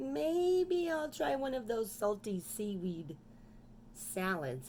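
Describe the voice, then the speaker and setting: Putting on a character voice, a woman speaks at a very slow pace with very wide pitch swings over clear background noise. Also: medium pitch for a woman. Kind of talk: children's storytime reading. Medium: read story.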